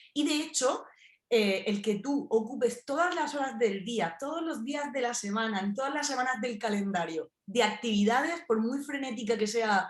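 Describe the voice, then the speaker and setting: A woman's fairly high, lively voice in a southern Spanish accent. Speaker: philosophy researcher. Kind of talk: interview. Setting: radio show.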